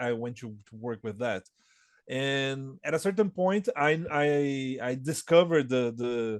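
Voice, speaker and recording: A man talks at a fairly slow pace with a Portuguese accent. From Brazil, São Paulo. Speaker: board game designer. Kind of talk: interview. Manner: halting, many repetitions and fillers.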